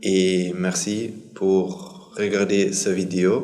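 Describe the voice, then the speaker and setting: Amid noticeable background noise and audible room echo, a man with a non-native accent speaks in a very deep, low pitch with monotone, flat intonation. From Germany. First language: German (speaking French). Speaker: Buddhist monk. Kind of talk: casual introduction to camera. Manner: halting, with many hesitations.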